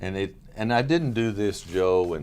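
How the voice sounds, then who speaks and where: Lively intonation from a man in an American accent. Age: 70s. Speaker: county judge, politician. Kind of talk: interview.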